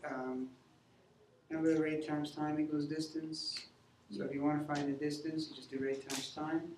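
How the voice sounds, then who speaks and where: A man speaks at a moderate pace in a fairly high pitch. Audible room echo and noticeable background noise surround him. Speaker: math teacher. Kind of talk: classroom lecture. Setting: classroom.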